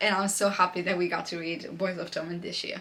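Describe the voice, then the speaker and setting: A woman with a non-native accent speaks at a medium pitch and a fairly quick pace, with noticeable background noise around her. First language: not English. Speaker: book vlogger. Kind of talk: casual monologue to camera. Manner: animated.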